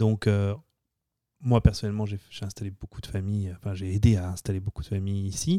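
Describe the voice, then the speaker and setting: A man with a fairly low pitch and a dark, mellow tone speaks at a fairly quick pace with fairly even intonation, big swings in loudness and long, frequent pauses, in a dry, close sound with no echo and a very clean recording with a silent background. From France, Lyon. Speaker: real estate agent. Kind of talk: interview. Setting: studio.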